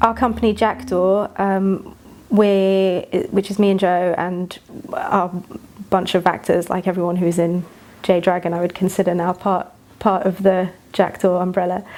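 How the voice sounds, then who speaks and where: A woman speaks with a British accent in monotone, flat intonation. Background noise is noticeable. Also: medium pitch for a woman, moderate pace. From England. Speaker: actor and writer. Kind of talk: interview.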